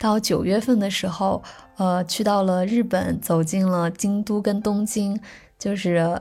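At a moderate pace, a woman with a medium pitch speaks in a dark, mellow, somewhat breathy tone with fairly even intonation. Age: 20s. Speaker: musician and travel blogger. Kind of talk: personal year-in-review monologue.

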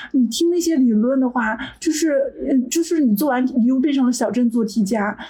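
The voice has a dark, mellow tone and very even loudness. It moves at a fairly quick pace. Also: woman, high pitch for a woman, ordinary pitch variation. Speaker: software engineer. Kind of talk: casual chat.

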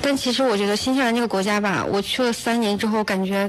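Noticeable noise behind the speech and a fairly even intonation. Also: woman. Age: 19. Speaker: student. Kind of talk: radio interview. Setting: radio studio.

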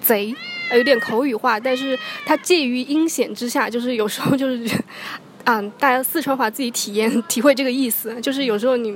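A woman's high voice at a fairly quick pace with fairly even intonation, amid noticeable background noise. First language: Mandarin Chinese. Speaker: podcast host. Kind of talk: casual chat.

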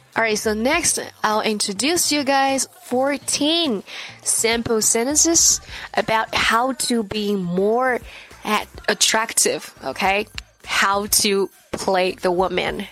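A woman with a Chinese accent speaks at a very slow pace, with lively intonation and very even loudness. Noticeable background noise is present. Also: fairly high pitch for a woman. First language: Mandarin Chinese. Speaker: English teacher. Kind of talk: language lesson. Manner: slow, deliberate enunciation.

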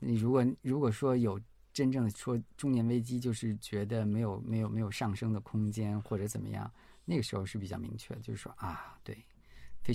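A man's fairly low voice, dark and mellow in tone, with fairly even intonation. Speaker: researcher. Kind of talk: casual chat.

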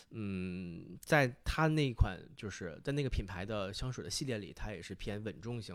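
An unremarkable speaking voice from a man, fairly low in pitch, at a moderate pace with hardly any pauses, lively intonation and big swings in loudness, in a very clean recording with a silent background. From Northeast China, Fushun, Liaoning. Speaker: podcast guest, fragrance enthusiast. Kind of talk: casual chat.

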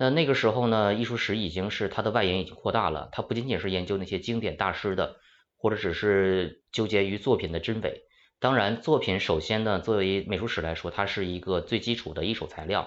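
A man speaks in a normal speaking voice. His pitch sits fairly low. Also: ordinary pitch variation. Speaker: art historian. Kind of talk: panel discussion.

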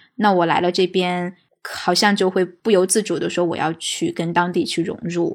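A woman talks at a moderate pace with fairly even intonation and medium pitch, in a plain, everyday voice. The recording is very clean, with a silent background. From mainland China. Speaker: podcast guest. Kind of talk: casual chat.

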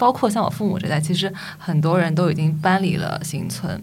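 A woman speaks at a fairly low pitch. Noticeable background noise and audible room echo are present. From Shanghai. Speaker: urban designer, guest co-host. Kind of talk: casual chat.

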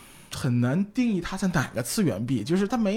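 The man's voice has a dark, mellow tone. His pitch swings very widely. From China. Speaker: comic bookstore owner. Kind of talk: casual chat.

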